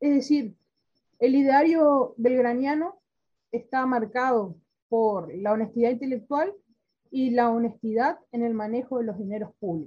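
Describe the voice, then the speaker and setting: A woman with a high pitch and a dark, mellow tone talks at a fairly slow pace, her intonation lively. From Argentina (Corrientes). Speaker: history society president. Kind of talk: interview.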